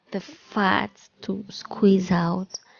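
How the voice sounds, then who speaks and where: A woman speaks quietly. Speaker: cooking youtuber. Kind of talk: tutorial.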